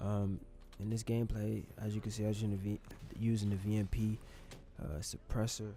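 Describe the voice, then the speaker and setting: A man's fairly low, dark, mellow voice, somewhat breathy, flat and monotone, at a fairly quick pace broken by long, frequent pauses. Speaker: YouTuber, gaming commentator. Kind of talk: casual storytime vlog over gameplay.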